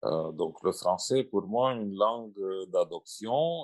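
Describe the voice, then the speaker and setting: A man speaks. He has a Russian accent. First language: Russian (speaking French). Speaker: translator and writer. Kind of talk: panel discussion. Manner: halting.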